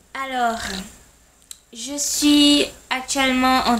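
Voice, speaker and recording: Over noticeable background noise, a woman talks in a high pitch with fairly even intonation. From Haiti. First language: Haitian Creole and French (speaking French). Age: 20s. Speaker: language tutor. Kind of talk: self-introduction video.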